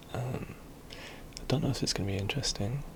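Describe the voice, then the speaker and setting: A man whispering amid noticeable background noise. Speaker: ASMR video creator. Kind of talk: ASMR educational talk about literary history. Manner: soft-spoken, hesitant with frequent filler words.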